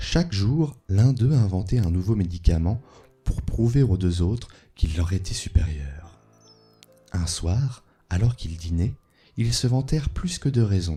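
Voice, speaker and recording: A soft-spoken man with a fairly low pitch and lively intonation at a fairly slow pace, with long, frequent pauses and music in the background. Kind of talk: sleep story reading of folk tales, ASMR. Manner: soft-spoken, calm.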